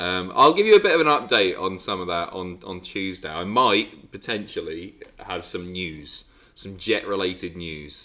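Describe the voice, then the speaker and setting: In a British accent, a man talks at a moderate pace in a very deep, low voice with a bright, sharp tone and ordinary pitch variation. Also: big swings in loudness. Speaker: livestreamer. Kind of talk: casual chat.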